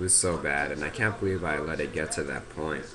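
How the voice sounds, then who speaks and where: Very deep, low male voice over noticeable background noise. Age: 20s. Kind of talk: personal vlog talk to camera.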